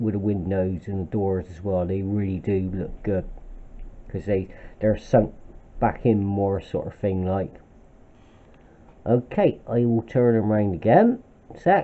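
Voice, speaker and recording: A man talks at a fairly slow pace with long, frequent pauses. His pitch is fairly low, and his intonation stays fairly even. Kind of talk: casual hobby show-and-tell. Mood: pleased, relaxed. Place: kitchen. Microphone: phone near.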